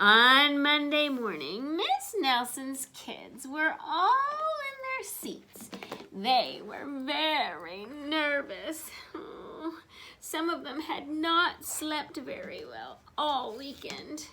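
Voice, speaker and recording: Speaking at a very slow pace, a woman talks with a high pitch. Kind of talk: bedtime story. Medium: read story. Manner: warm, expressive, interactive.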